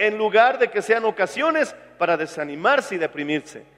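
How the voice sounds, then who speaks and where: A man with lively intonation amid noticeable background noise. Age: 40s. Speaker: pastor. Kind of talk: sermon.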